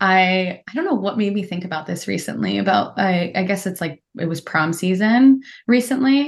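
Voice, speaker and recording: A woman with an American accent speaks at a moderate pace in a medium pitch. Her pitch varies in an ordinary way, and the background is quiet. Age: 30s. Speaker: therapist. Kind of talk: casual interview chat. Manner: articulate.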